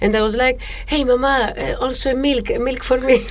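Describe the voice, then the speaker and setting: Speaking fairly quickly with a Greek accent, a woman is heard with audible room echo and noticeable background noise. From Greece, Thessaloniki. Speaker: music teacher and musician. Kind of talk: podcast interview. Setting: studio. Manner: halting.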